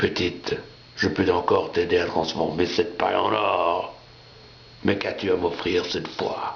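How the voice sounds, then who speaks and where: Over clear background noise, a man puts on a character voice, moving at a moderate pace with long, frequent pauses. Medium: read story. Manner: sly, bargaining.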